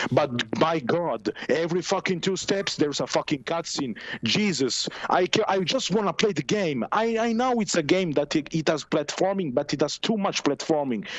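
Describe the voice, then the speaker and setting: Noticeable background noise sits under a speaker with an Italian accent. The pace is moderate and the intonation lively. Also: man. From Italy. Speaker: caller. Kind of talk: casual chat. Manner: halting.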